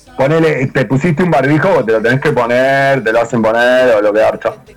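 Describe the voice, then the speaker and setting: With noticeable background noise behind him, a man talks at a moderate pace in a fairly high pitch with ordinary pitch variation. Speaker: podcast panelist. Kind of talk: casual banter among friends.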